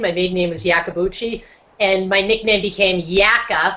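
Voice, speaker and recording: This voice has a bright, sharp tone and a Boston accent. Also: woman. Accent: Boston accent, non-rhotic. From Boston, US. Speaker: motivational speaker and social entrepreneur. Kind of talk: casual interview on a video hangout.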